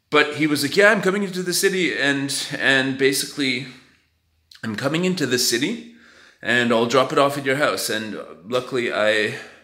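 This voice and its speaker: With audible room echo, a man at a fairly high pitch speaks in a bright, sharp tone, using lively intonation at a moderate pace. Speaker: vlogger. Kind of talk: casual vlog talk. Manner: hesitant, filler-heavy.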